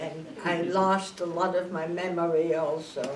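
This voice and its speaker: A woman speaks in a flat monotone at a fairly low pitch. Noticeable background noise and audible room echo surround her. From Netherlands, Amsterdam. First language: Dutch. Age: 80s+. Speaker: Holocaust survivor. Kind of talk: testimony. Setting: school classroom with students. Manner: halting.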